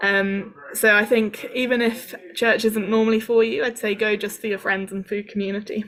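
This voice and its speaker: A woman with a southern English accent speaks in a flat monotone. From southern England, Cambridge. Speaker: international student support worker. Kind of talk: workshop talk. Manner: hesitant, many fillers.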